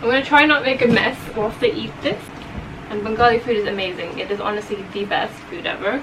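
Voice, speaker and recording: Speaking at a fairly quick pace, a woman with a fairly high voice and ordinary pitch variation is heard over noticeable background noise and audible room echo. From England, then Saudi Arabia from age twelve. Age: 20s. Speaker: food vlogger. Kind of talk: mukbang Q&A chat. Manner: casual, chatty; quiet, near whisper.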